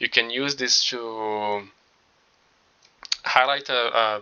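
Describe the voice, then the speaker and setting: A man speaks very slowly with a non-native accent. His pitch is medium and his intonation fairly even. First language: not English. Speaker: tutorial creator, designer. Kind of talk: tutorial. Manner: halting, many filler words.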